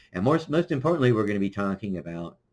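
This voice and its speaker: A man with an American accent, fairly low in pitch, with very wide pitch swings. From US Midwest, Kansas City Missouri. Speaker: podcast host. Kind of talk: solo livestream monologue. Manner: halting, many fillers.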